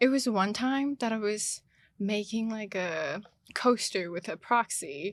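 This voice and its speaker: On a very clean recording with a silent background, a woman with a Chinese accent speaks very slowly at a fairly high pitch with ordinary pitch variation. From China. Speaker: international student. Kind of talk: casual chat.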